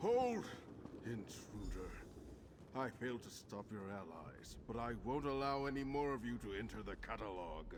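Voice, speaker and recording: Over loud background noise, a man does a put-on character voice at a medium pitch and moderate pace. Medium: video game.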